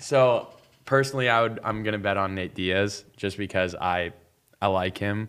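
An unremarkable speaking voice with an American accent goes at a moderate pace. The pitch variation is ordinary. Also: man, fairly low pitch for a man. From Pittsburgh, Pennsylvania. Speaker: college student and salesman. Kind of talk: casual chat.

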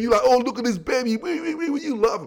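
With lively intonation and an animated tone, a man speaks at an extremely high pitch. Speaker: sports podcast host. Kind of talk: solo sports commentary monologue. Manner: casual slangy delivery.

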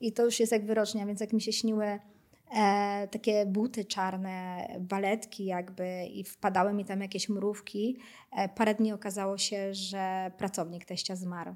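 A woman's medium-pitched, monotone, flat voice at a fairly slow pace on a very clean recording with a silent background. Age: 30s. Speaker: fortune teller. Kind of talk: casual interview.

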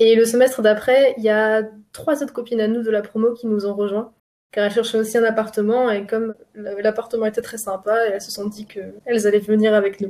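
Speaking at a fairly quick pace, a woman has a fairly high, dark and mellow voice with flat, monotone intonation. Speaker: student. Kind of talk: interview.

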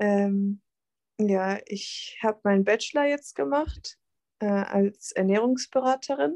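A woman's voice at a medium pitch, dark and mellow in tone, with lively intonation, a very slow pace, and a dry, close sound without echo. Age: 20s. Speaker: fitness athlete and nutrition coach. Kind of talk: casual interview.

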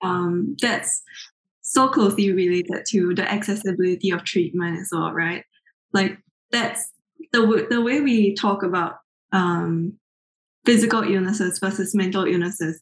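A woman speaks with a medium pitch and a somewhat breathy voice, leaving long, frequent pauses. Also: ordinary pitch variation, moderate pace. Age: 20s. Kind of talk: interview.

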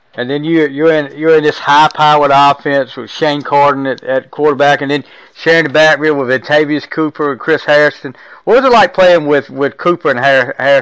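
Recorded very cleanly against a silent background, a man with an ordinary speaking voice talks fairly quickly at a fairly high pitch. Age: 40s. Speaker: podcast host. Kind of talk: casual interview.

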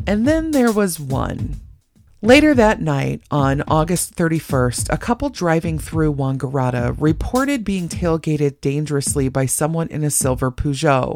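With an animated tone and a moderate pace, the voice plays over music in the background. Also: woman. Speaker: true crime podcast host. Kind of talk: true-crime narration with dark humor, scripted storytelling. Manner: wry, animated, conversational; steady, measured storyteller pace.

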